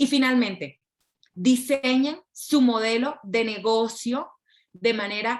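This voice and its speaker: This woman has a fairly high pitch. She talks at a very slow pace. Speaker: intellectual property lawyer. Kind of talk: lecture. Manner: clear.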